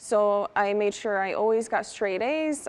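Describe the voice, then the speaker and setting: A woman with a fairly high pitch and an unremarkable speaking voice, at a moderate pace. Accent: American. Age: 20s. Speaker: beauty pageant winner and student. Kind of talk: TV interview.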